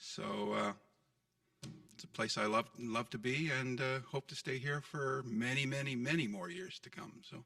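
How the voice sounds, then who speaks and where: A man with a medium pitch and a bright, sharp tone speaks at a moderate pace, with lively intonation, vocal fry and big swings in loudness. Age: 60s. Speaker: council candidate. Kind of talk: candidates forum. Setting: city hall council chambers.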